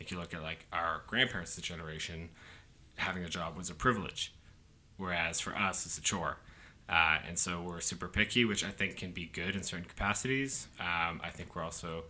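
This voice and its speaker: Bright and sharp in tone, the voice moves at a fairly quick pace with ordinary pitch variation. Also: man, very deep, low pitch for a man. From Canada, Halifax, Nova Scotia. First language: French. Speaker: PR and sports agency entrepreneur. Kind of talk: casual chat.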